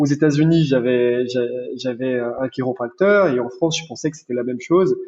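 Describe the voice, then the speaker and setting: A man at a moderate pace. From Brazil, centre of the country. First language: Portuguese (speaking French). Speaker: chiropractor. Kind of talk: podcast interview.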